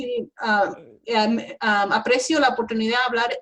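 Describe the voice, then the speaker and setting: A somewhat breathy woman speaks at a fairly slow pace with ordinary pitch variation. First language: English (speaking Spanish). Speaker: environmental engineering professor. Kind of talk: interview. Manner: halting, many fillers and self-corrections.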